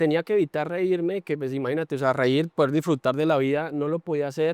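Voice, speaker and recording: Talking at a very fast pace, a man with a fairly high pitch keeps his intonation fairly even, in a dry, close sound with no echo. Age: 20s. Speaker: transplant patient and athlete. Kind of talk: testimony in podcast conversation.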